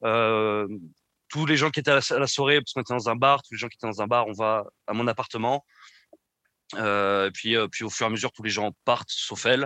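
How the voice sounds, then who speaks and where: A bright, sharp tone at a fairly quick pace with fairly even intonation and long, frequent pauses, dry and close with no echo against a quiet background. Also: man, medium pitch for a man. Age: 20s. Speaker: guest sharing personal story of abusive relationship. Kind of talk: personal testimony. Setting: remote recording. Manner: halting, with many repetitions and hesitations.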